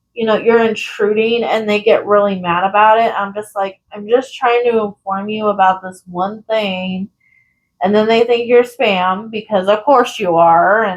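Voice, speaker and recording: Soft-spoken and fairly slow, a woman talks in a fairly high voice with ordinary pitch variation. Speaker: crafting youtuber. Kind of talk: casual chat. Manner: gets loud when excited.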